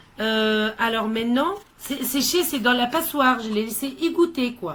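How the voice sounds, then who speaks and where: A woman's fairly high-pitched voice in a non-native accent, at a very slow pace. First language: not French (speaking French). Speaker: gardening video maker. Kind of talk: tutorial. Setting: at home by a small greenhouse. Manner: halting, many hesitations.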